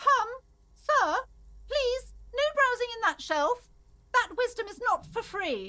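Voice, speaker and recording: A woman puts on a squeaky character voice at an extremely high pitch, with lively intonation and a nervous tone. She speaks at a fairly slow pace with long, frequent pauses. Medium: video game. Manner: nervous, fretful.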